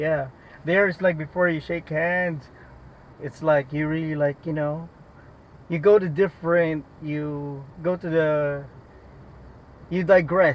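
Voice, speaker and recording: Speaking at a very slow pace with long, frequent pauses, a man uses a fairly high pitch and fairly even intonation. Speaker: rideshare driver. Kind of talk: casual chat.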